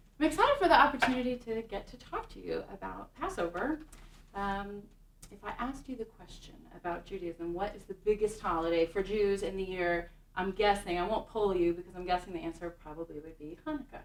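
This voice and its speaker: An unremarkable speaking voice from a woman at a medium pitch, fairly quick in pace, with lively intonation and big swings in loudness. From Kansas City, Kansas. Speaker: synagogue music director. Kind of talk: talk to an audience.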